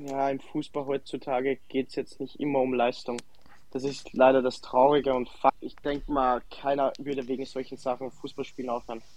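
The man's pitch is medium and his intonation monotone and flat. He keeps a moderate pace. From Austria, Salzburg. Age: 20s. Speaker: professional footballer. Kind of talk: interview. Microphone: connection problems.

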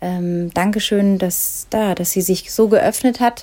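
A woman speaks at a very slow pace in a dark, mellow tone. Her medium-pitched voice stays fairly even in intonation. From Ruhr area, Germany. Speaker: podcast host, running coach. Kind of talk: interview. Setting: video call.

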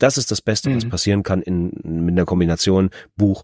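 Recorded very cleanly against a silent background with a dry, close sound and no echo, a man speaks very fast in a very deep, low voice with ordinary pitch variation. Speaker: audiobook narrator. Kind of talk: casual chat.

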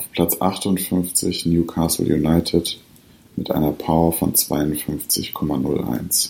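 A man speaks at a very slow pace in a very deep, low pitch. His intonation is fairly even. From Ruhr area, Germany (Bottrop). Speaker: podcast host. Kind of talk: scripted ranking readout. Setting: at home by the fireplace. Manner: formal.

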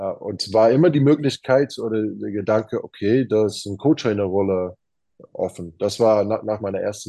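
Against a quiet background, a man with an English accent speaks fairly quickly at a medium pitch with ordinary pitch variation. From Arizona, USA. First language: English (speaking German). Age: 30s. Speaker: professional basketball player. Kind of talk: interview. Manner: halting, many fillers.

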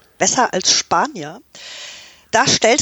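A woman is speaking. Her pace is fairly slow. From Canada. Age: 40s. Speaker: football fan. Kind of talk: casual chat.

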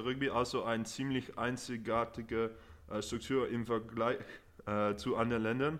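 Speaking with a non-native accent, a man uses a medium pitch with ordinary variation at a moderate pace. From Netherlands, partly raised in England. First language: Dutch or English (speaking German). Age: 20s. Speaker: rugby player. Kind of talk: podcast interview. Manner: halting with fillers.

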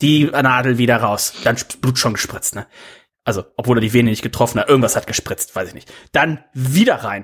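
A man's plain, everyday voice at a medium pitch, fairly quick pace, ordinary pitch variation and big swings in loudness. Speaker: podcast host. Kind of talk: casual banter. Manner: joking.

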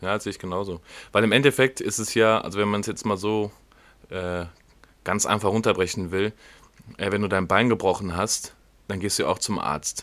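With a fairly low pitch and fairly even intonation, a man speaks at a moderate pace, leaving long, frequent pauses. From Germany, Wiedenbrück (Westphalia). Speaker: podcast host, rugby player. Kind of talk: casual chat. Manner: hesitant, many fillers.

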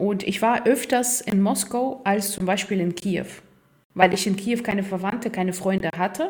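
A woman with a Russian accent speaks at a moderate pace and medium pitch, her voice somewhat breathy, with ordinary pitch variation. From Ukraine, Kharkiv. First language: Russian (speaking German). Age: 30s. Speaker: football groundhopper. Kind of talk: casual interview.

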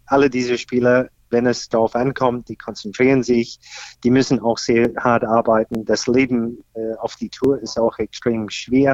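A man's medium-pitched, flat, monotone delivery at a very slow pace. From Australia. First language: English (speaking German). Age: 50s. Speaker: golf pro and senior tour player. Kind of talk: interview. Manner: hesitant, many fillers.

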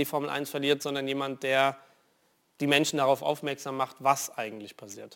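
Recorded very cleanly against a silent background, a man with a normal speaking voice and a fairly high pitch talks at a moderate pace. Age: 20s. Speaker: racing driver. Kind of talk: TV interview. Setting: studio.

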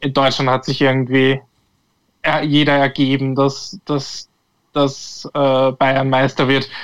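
Speaking at a fairly slow pace with an Austrian accent, a man holds a medium pitch and a monotone, flat intonation. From Austria, Tulln (Lower Austria). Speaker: football pundit. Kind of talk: casual chat. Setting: remote call.

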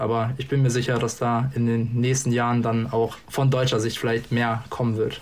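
The speech moves at a fairly quick pace and sounds somewhat breathy. Audible room echo surrounds it. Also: man. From northern Germany, Hanover region. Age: 20s. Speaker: darts player and podcast guest. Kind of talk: casual chat. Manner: hesitant, many fillers.

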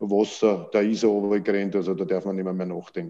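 This man talks at a very fast pace in a fairly low pitch. His tone is dark and mellow. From Austria, Vienna. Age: 60s. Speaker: football coach. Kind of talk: interview. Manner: halting.

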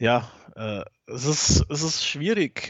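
A man talks with ordinary pitch variation. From Bavaria, Germany (Franconia, near Nuremberg). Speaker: podcast co-host and football fan. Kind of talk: casual chat.

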